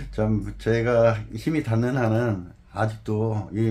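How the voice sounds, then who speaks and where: Audible room echo surrounds a man whose fairly low voice is somewhat breathy. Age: 60s. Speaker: former jockey and horse trainer. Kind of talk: interview.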